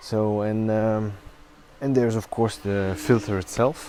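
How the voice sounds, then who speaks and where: Speaking with a non-native accent, a man delivers his words at a fairly slow pace. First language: not English. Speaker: product reviewer. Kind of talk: tutorial. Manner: halting, many fillers.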